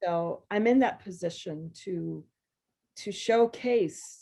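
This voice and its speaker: The speaker has a normal speaking voice with an American accent and ordinary pitch variation. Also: woman. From US South. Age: 60s. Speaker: poet. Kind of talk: conversation.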